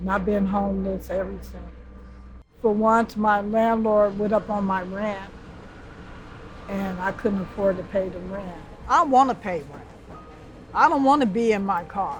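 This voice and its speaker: At a fairly slow pace, a woman of medium pitch talks with ordinary pitch variation, big swings in loudness and long, frequent pauses, with audible room echo and noticeable background noise. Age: 60s. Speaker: homeless woman. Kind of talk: documentary interview.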